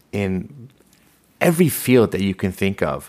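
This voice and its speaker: A man with an American accent speaks at a fairly slow pace. His voice is an unremarkable speaking voice, fairly low in pitch. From Los Angeles, raised from age six after leaving Iran. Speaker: commercial real estate advisor and podcast host. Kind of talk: interview.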